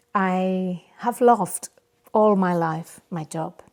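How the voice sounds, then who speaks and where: A woman with a Catalan accent speaks at a medium pitch with a dark, mellow tone and fairly even intonation. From Spain, Barcelona area. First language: Spanish. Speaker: podcast host, yoga teacher. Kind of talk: casual monologue. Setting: home studio. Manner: halting, many fillers.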